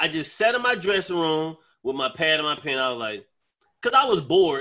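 Using very wide pitch swings, a man speaks with an American accent. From North Carolina, Charlotte. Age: 40s. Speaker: comedian. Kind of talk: casual chat.

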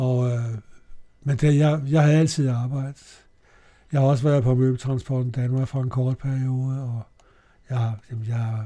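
A man speaks fairly slowly in a medium-pitched, dark, mellow and somewhat breathy voice with monotone, flat intonation. He leaves long, frequent pauses. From Denmark, Copenhagen. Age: 80s+. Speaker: amateur singer. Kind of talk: interview. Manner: halting.

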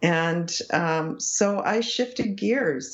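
A woman with an unremarkable speaking voice, fairly low pitch, lively intonation and a Canadian accent. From English Canada, small town. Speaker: psychology professor. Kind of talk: interview conversation.

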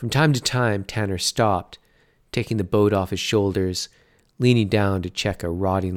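This is plain reading aloud. The pitch moves in an ordinary way.

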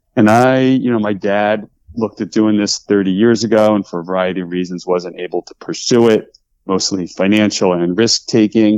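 A man speaks in a normal speaking voice at a moderate pace with ordinary pitch variation. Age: 50s. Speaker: baseball team president. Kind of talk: interview.

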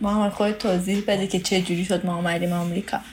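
Over noticeable background noise, a woman talks with a Tehran accent. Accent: Tehran Persian. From Iran, Tehran. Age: 20s. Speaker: student, spouse of an international student. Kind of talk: interview, casual chat.

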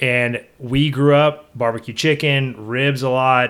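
A man talks in a Texan accent at a medium pitch. His intonation stays fairly even. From Texas (Belleville, German-Czech community). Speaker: pit builder business owner. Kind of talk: casual interview. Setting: on location at a pit building shop.

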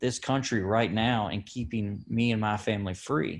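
This man speaks at a medium pitch with fairly even intonation and an American accent. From Kentucky. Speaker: wounded army veteran. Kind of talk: interview. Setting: outdoors.

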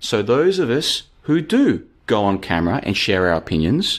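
A man's voice with vocal fry and very wide pitch swings. The recording is very clean, with a silent background. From Australia. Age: 30s. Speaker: podcaster. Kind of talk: casual monologue. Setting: live stream.

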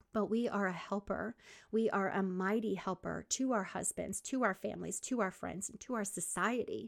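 A woman's medium-pitched voice with a warm tone and vocal fry, fairly even intonation, and a moderate pace, in a very clean recording with a silent background and a dry, close sound free of echo. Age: 50s. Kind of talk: faith-based podcast monologue. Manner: warm, encouraging.

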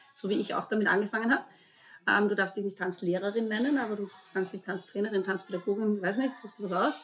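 A woman at medium pitch, talking at a very fast pace. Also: fairly even intonation. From Vorarlberg, Austria. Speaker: dance school owner. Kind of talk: podcast interview.

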